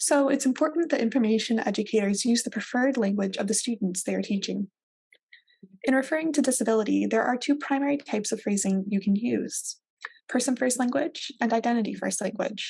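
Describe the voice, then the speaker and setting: A woman's ordinary speaking voice with an American accent, fairly high in pitch, at a fairly quick pace with ordinary pitch variation. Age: 20s. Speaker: librarian presenter. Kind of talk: recorded presentation. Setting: video call with virtual background.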